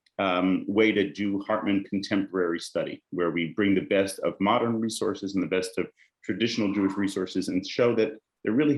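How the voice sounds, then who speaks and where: The speaker has an American accent, a fairly quick pace and ordinary pitch variation. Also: man. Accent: American-sounding. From Israel, Jerusalem. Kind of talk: lecture.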